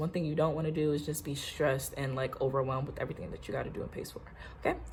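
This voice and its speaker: Somewhat breathy in tone, a woman talks in an American accent. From Virginia. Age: 20s. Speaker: lifestyle vlogger. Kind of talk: casual get-ready-with-me vlog. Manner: fast; animated.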